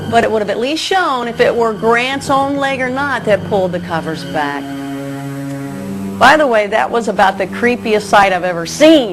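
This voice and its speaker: A woman's fairly high voice with very wide pitch swings at a moderate pace, music in the background. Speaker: broadcaster. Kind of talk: TV audition to camera. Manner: casual, conversational.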